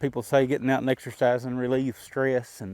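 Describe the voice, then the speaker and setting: Here a man speaks with an Appalachian accent. His tone is dark and mellow. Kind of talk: casual vlog talk while walking. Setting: outdoors.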